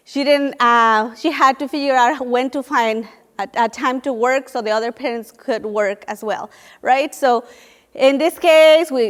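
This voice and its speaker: This woman talks at a fairly slow pace in a high pitch, with a Spanish accent and ordinary pitch variation. The recording is very clean, with a silent background. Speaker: nonprofit program leader. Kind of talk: panel talk. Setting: room with audience.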